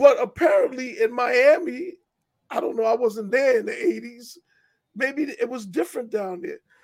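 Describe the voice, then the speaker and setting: With a New York accent and an extremely high pitch for a man, he speaks at a moderate pace, his intonation lively and his loudness swinging widely. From New York, Hollis, Queens. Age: 50s. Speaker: writer and filmmaker. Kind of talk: casual interview.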